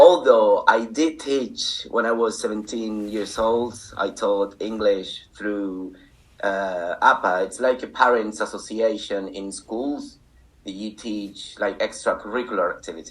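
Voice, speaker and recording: A man speaks at a fairly slow pace with a Spanish accent, his loudness swinging widely. Music plays in the background. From Canary Islands, Spain. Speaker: English teacher and teacher supervisor. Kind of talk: interview.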